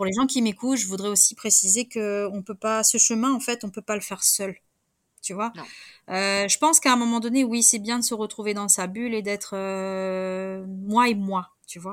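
A woman in a normal speaking voice talks at a medium pitch and moderate pace with fairly even intonation, in a very clean recording with a silent background. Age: 40s. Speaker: management coach, former insurance branch manager. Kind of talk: interview.

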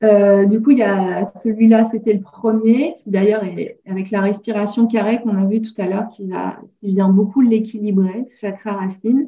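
Speaking at a moderate pace, a woman has a somewhat breathy voice of medium pitch. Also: fairly even intonation, hardly any pauses, big swings in loudness. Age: 30s. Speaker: yoga teacher. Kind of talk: interview.

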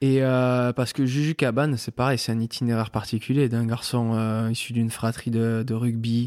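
At a moderate pace and medium pitch, a man talks in a monotone, flat intonation with hardly any pauses. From southwest France, Landes. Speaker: professional rugby player. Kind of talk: casual interview chat.

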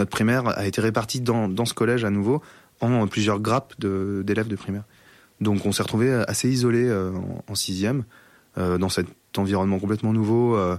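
Fairly low in pitch, a man speaks at a moderate pace with ordinary pitch variation. He leaves long, frequent pauses, and the recording is very clean with a silent background. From French Alps, Grésivaudan valley near Grenoble. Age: 20s. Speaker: agricultural worker sharing school bullying experience. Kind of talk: personal testimony interview. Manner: halting, many repetitions and fillers.

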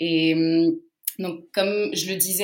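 This woman has an unremarkable speaking voice with a fairly low pitch and fairly even intonation. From Portugal and Brazil, raised abroad. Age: 30s. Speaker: customer success manager. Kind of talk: interview.

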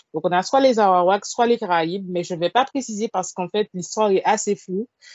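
Here a woman has an unremarkable speaking voice at medium pitch. Her pitch variation is ordinary. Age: 20s. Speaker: literary blogger and author. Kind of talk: casual interview.

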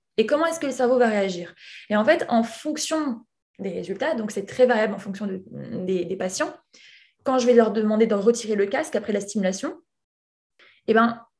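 A woman speaks at a fairly quick pace with a fairly high pitch. Her voice is somewhat breathy, with ordinary pitch variation. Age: 20s. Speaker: hearing aid specialist. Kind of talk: interview. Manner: hesitant.

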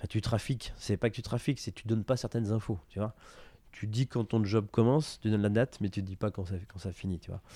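A man speaks very fast in a fairly low pitch with a dark, mellow tone and fairly even intonation. The recording is very clean with a silent background and a dry, close sound with no echo. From western France, Angers. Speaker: entrepreneur, engineer. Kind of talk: interview testimony. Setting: office. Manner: halting, many repetitions.

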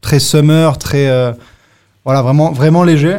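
Very slowly, a man speaks in a dark, mellow tone with fairly even intonation. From Monaco. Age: 30s. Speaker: beer company co-founder, entrepreneur. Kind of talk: casual interview. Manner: halting, many repetitions.

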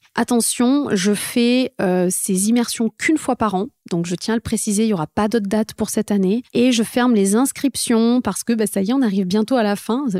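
Speaking at a fairly quick pace, a woman has a dark, mellow tone, ordinary pitch variation and very even loudness. The sound is dry and close with no echo, in a very clean recording with a silent background. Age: 30s. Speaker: podcast host and coach. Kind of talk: solo podcast monologue. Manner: casual, conversational with fillers.

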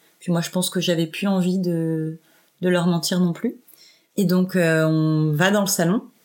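At a fairly slow pace, a woman talks in a fairly low, monotone voice with flat intonation and very even loudness. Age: 20s. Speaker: podcast guest sharing personal story. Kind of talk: personal testimony interview. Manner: casual with many hesitations.

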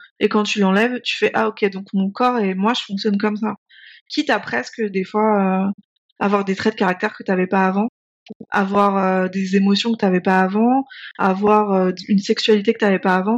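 Against a quiet background, a woman with an unremarkable speaking voice talks at a moderate pace and medium pitch with fairly even intonation. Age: 30s. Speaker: naturopath and sex therapist. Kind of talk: casual chat.

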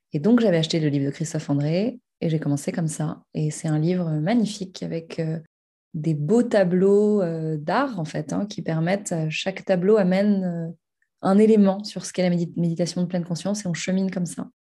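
Against a quiet background, a woman speaks at a moderate pace in a fairly low, somewhat breathy voice with a dark, mellow tone and ordinary pitch variation. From Paris, France. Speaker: meditation trainer. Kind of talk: interview. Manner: hesitant, many fillers.

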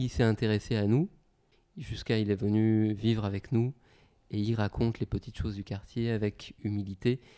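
A man talks at a moderate pace with fairly even intonation and a fairly low pitch. His tone is dark and mellow, and the sound is dry and close with no echo. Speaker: hip-hop artist and consultant. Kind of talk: interview.

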